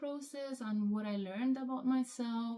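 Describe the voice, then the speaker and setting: Her intonation is fairly even. This woman talks in a Spanish accent. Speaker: hobby vlogger. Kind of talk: casual vlog monologue. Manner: hesitant, many fillers.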